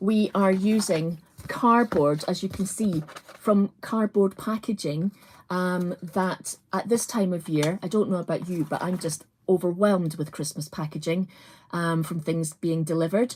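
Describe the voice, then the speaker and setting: A woman with a Scottish accent, somewhat breathy, medium in pitch, at a fairly slow pace with ordinary pitch variation. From Scotland, Edinburgh. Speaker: crafts presenter. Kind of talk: live craft tutorial. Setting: livestream. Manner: casual, many fillers.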